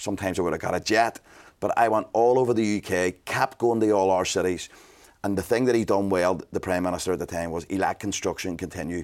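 A man with a Belfast accent talks at a very fast pace in a fairly low pitch and an energetic tone, on a very clean recording with a silent background. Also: ordinary pitch variation. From Northern Ireland, Belfast. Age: 40s. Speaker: business mentor and entrepreneur. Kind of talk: casual interview.

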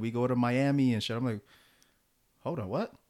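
Using a normal speaking voice, a man with an American accent talks fairly quickly at medium pitch with ordinary pitch variation. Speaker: podcast host. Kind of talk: casual chat.

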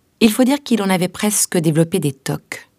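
Very wide pitch swings in a woman's voice, with a dry, close sound and no echo. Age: 40s. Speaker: letter writer reading her own letter. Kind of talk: reading aloud.

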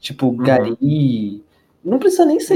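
A man's fairly high voice with a dark, mellow tone, at a fairly slow pace. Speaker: podcast co-host, university student. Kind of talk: casual chat.

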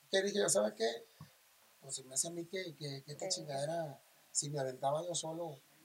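With lively intonation and big swings in loudness, a man speaks at a fairly quick pace in a fairly high, somewhat breathy voice, leaving long, frequent pauses. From Mazatlán, Sinaloa, Mexico. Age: 40s. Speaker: regional Mexican singer. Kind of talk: casual interview chat.

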